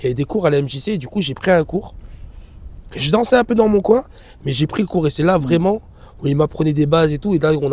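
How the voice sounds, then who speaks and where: Speaking at a very fast pace yet with long, frequent pauses, a man uses lively intonation at a fairly high pitch. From Grenoble area, France. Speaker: dance director. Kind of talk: casual interview. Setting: outdoors on hilltop.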